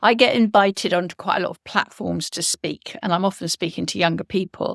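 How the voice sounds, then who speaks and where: A woman speaks at a medium pitch with vocal fry and fairly even intonation. Her loudness swings widely, and the sound is dry and close with no echo. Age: 70s. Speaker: entrepreneur. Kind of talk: interview. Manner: halting.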